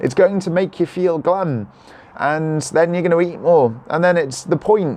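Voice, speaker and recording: A man with a Cardiff accent and an animated tone, over noticeable background noise. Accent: Welsh (Cardiff). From South Wales. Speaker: vlogger. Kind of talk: live stream chat reading comments. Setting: live video holding a selfie stick.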